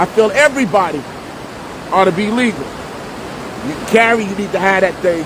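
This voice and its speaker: Over noticeable background noise, a man with a New Jersey accent talks in an animated tone at a high pitch, with ordinary pitch variation and a moderate pace. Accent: New Jersey urban speech. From US Northeast, Jersey City, New Jersey. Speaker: online talk show host and minister. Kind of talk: casual monologue.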